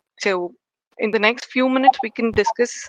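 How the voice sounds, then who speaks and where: A woman speaks with fairly even intonation. The sound is dry and close, without echo. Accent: Telugu. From India, Karnataka. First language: Telugu. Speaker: engineering manager. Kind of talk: interview. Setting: podcast. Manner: hesitant, many fillers.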